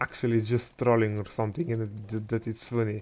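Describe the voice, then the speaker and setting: A soft-spoken man talks at a medium pitch. His intonation stays monotone and flat. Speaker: gaming commentator. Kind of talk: gameplay commentary. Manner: halting.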